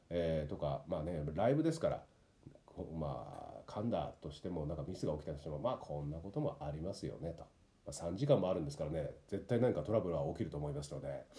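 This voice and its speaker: Talking very fast, a man uses a very deep, low pitch and lively intonation. His tone is dark and mellow, and somewhat breathy. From Tokyo, Japan. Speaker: actor and narrator, podcast host. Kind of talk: casual solo talk.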